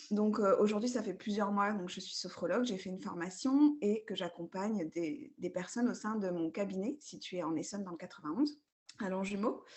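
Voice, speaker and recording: A woman's somewhat breathy voice sits at medium pitch with ordinary pitch variation. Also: moderate pace. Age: 30s. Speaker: sophrologist. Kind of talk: coaching session.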